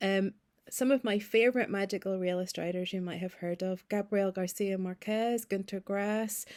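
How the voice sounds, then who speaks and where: The voice carries a Northern Irish accent and fairly even intonation. The recording is very clean, the background silent. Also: woman, medium pitch for a woman, moderate pace. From Northern Ireland, Ballymena (County Antrim). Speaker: novelist. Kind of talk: recorded video message.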